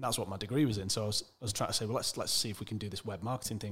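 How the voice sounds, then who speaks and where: A man speaks with a Mancunian accent. His voice is somewhat breathy, with ordinary pitch variation. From Manchester, England. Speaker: e-commerce entrepreneur. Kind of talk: interview conversation.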